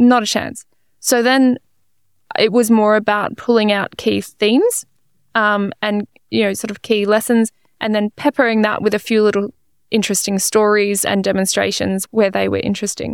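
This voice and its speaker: A woman with an Australian accent speaks at a moderate pace and a fairly high pitch. Her intonation is monotone and flat, and the sound is dry and close with no echo. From Australia (Melbourne). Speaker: physicist and science communicator. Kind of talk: casual interview.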